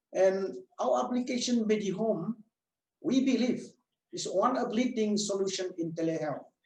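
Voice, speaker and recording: Amid audible room echo, a man speaks in a high voice at a moderate pace with lively intonation and long, frequent pauses. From Vietnam. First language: Vietnamese. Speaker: medical doctor and telehealth clinic owner. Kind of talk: webinar presentation. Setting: online webinar.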